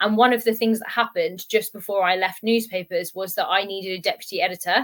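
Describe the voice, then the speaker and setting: A woman talks at a very fast pace. Her pitch sits at a medium level. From southern England, Portsmouth. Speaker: style coach, former newspaper editor. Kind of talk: podcast interview. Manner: animated.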